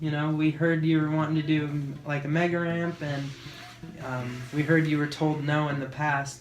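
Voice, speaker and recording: A soft-spoken man with a fairly high voice, flat monotone delivery and moderate pace, music playing behind him. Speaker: action sports athlete, BMX rider. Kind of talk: interview answer.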